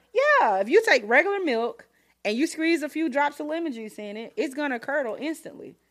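Speaking very fast, a woman uses a high pitch with very wide pitch swings. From US South. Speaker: home cook and teacher. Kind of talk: casual chat. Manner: animated.

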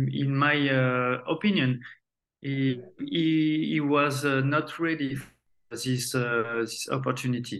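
A man with a French accent speaks at a very slow pace. His pitch is medium and his intonation fairly even. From France. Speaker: retired footballer. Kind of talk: interview. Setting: remote call. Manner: halting.

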